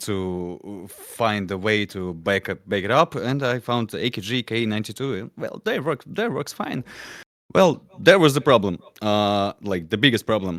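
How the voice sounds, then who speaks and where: A man with a non-native accent, fairly low pitch and ordinary pitch variation, speaking at a fairly slow pace in a dry, close sound with no echo. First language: not English. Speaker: musician, band songwriter. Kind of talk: panel discussion. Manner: halting, many fillers.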